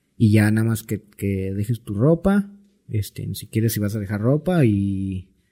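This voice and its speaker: The man's tone is dark and mellow at a medium pitch. His voice is somewhat breathy. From Mexico, Cancún (Quintana Roo). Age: 20s. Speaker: music producer. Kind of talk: casual chat.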